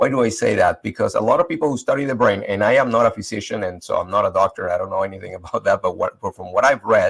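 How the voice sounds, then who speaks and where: With a Spanish accent, a man talks at a very fast pace with hardly any pauses, and the sound is dry and close with no echo. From Venezuela. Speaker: leadership panelist. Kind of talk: panel discussion.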